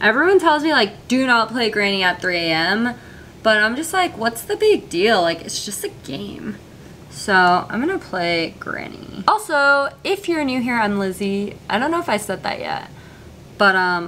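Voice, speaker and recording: Very wide pitch swings mark this moderately paced voice, with light background noise behind it. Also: woman. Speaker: gaming youtuber. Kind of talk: casual vlog chat. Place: home room.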